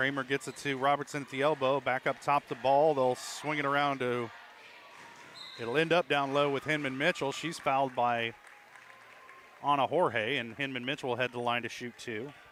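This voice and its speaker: Over crowd noise in the background, a man speaks in a monotone, flat intonation. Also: medium pitch for a man. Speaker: play-by-play announcer. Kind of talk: live commentary. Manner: fast.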